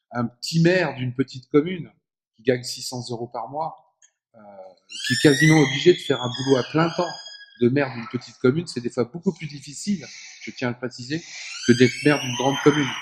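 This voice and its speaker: Speaking at a fairly quick pace, a man with a fairly high pitch and ordinary pitch variation shows big swings in loudness and takes long, frequent pauses. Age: 60s. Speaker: former politician, author and speaker. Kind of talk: public lecture. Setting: conference hall with audience.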